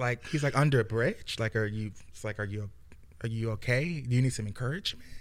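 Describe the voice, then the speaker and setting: Fairly quick in pace, a man uses an ordinary speaking voice at medium pitch with ordinary pitch variation. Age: 30s. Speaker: social services director and singer. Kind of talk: casual chat.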